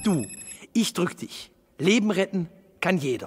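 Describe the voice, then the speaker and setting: Music plays behind a man with a Ruhr accent who speaks at a fairly slow pace with lively intonation. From Duisburg, Ruhr area, Germany. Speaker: cabaret artist. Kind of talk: cinema public service spot. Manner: casual, humorous, direct.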